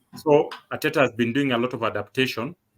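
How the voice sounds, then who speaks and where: Fairly even intonation and a fairly quick pace from a man with a medium pitch. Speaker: football fan co-host. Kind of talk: casual football chat. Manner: halting with fillers.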